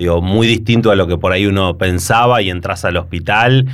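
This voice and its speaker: A man with a Rioplatense accent at a moderate pace, with ordinary pitch variation and audible room echo. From Argentina, Buenos Aires province (La Plata). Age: 40s. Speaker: doctor and municipal health official. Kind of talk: interview. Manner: hesitant with frequent fillers and repetitions.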